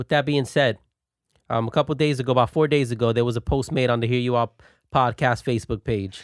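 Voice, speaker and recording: A man speaks at a fairly quick pace. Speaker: podcast host. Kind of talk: casual chat. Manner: loud; animated.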